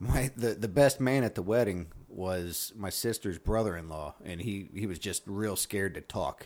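A man talks at a moderate pace with a fairly low pitch and ordinary pitch variation. He has an unremarkable speaking voice. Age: 40s. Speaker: comedian and military veteran. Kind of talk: casual chat.

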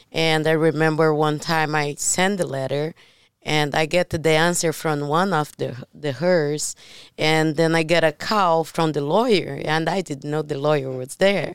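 With a Brazilian accent, a woman with a very deep, low pitch speaks at a fairly slow pace and fairly even intonation, in a very clean recording with a silent background. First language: Portuguese. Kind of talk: casual chat. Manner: halting.

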